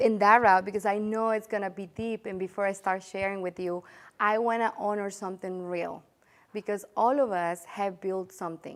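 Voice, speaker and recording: A woman with a Spanish accent talks at a moderate pace, her intonation fairly even. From El Salvador. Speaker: real estate agent. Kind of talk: interview. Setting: studio. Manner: heartfelt, some hesitation.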